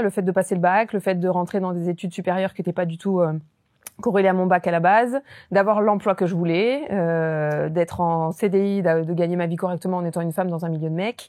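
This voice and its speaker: An ordinary speaking voice moves at a fairly quick pace with ordinary pitch variation on a very clean recording with a silent background. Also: woman. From southern France. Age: 30s. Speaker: real estate investor and entrepreneur. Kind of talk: podcast interview.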